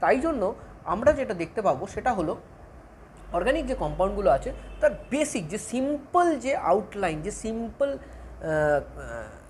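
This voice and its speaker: Audible room echo surrounds a woman whose fairly high pitch moves in very wide swings. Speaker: chemistry teacher. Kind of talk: lecture.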